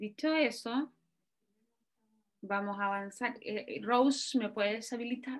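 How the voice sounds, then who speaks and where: A woman at a very slow pace, fairly high in pitch, with ordinary pitch variation and long, frequent pauses. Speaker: university lecturer. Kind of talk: online lecture.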